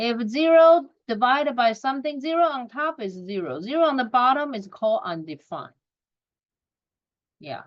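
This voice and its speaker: A woman's high voice with a non-native accent, long, frequent pauses, very wide pitch swings and big swings in loudness. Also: moderate pace. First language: not English. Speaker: math teacher. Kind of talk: recorded lesson.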